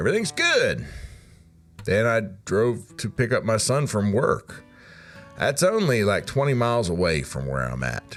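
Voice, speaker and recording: Music can be heard behind the speech. A man delivers it at a fairly slow pace. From Omaha, Nebraska. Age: 30s. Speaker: stand-up comedian. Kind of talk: comedic rant to camera. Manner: casual, rambling.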